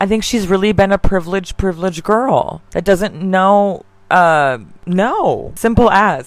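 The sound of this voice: A woman speaks at a fairly slow pace with a medium pitch.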